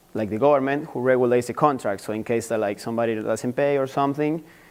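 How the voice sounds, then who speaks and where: Using fairly even intonation, a man with an Argentine accent speaks at a medium pitch. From Argentina. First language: Spanish. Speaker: university student. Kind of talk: class presentation. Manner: halting.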